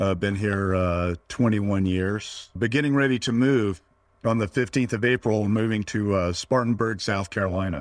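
A man with an ordinary speaking voice and an American accent speaks at a fairly low pitch, with ordinary pitch variation and very even loudness. His pace is moderate, and the recording is very clean with a silent background. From US, Northern Virginia. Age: 50s. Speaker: entrepreneur, vertical farming startup founder. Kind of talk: interview conversation.

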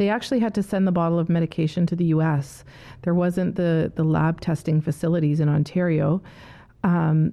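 With a Canadian accent, the voice has a dark, mellow tone, fairly even intonation and a moderate pace. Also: woman. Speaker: medication safety advocate. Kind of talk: interview.

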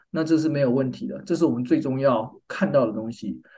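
A man's fairly high, dark and mellow voice at a moderate pace, in a Taiwanese accent. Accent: Taiwanese Mandarin. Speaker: business school professor and department chair. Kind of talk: interview.

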